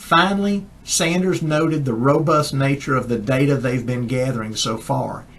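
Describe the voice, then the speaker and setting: Someone talks at a moderate pace with a Southern US accent. There are hardly any pauses, and the pitch varies in an ordinary way. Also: man, fairly high pitch for a man. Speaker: chiropractor, science newsletter editor. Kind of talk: casual talk to camera.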